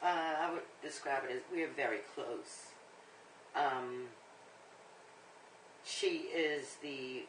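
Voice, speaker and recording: The speech is very slow with long, frequent pauses and fairly even intonation, and there is audible room echo. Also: woman, very deep, low pitch for a woman. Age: 60s. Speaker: interviewee. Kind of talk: interview answers.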